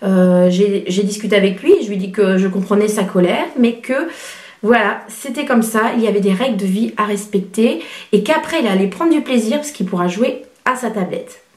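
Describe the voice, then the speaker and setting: Fairly high in pitch with ordinary variation, a woman speaks at a moderate pace amid audible room echo and noticeable background noise. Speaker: parenting blogger. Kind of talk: vlog advice talk. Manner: soft-spoken; hesitant, many fillers.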